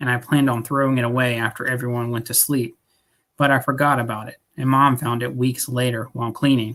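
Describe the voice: Plain reading aloud with fairly even intonation comes over a quiet background.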